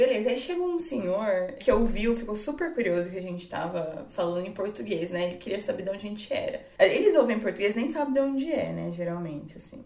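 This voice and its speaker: Amid noticeable background noise, the voice races at a very fast pace with hardly any pauses, very wide pitch swings and big swings in loudness. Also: woman, medium pitch for a woman. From Brazil. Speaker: English teacher. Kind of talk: casual chat.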